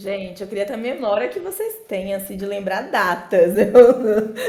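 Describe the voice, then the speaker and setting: Noticeable background noise and audible room echo surround a woman who talks at a fairly slow pace. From Brazil, interior of Bahia (Alagoinhas). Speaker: software developer and podcaster. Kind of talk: casual podcast chat.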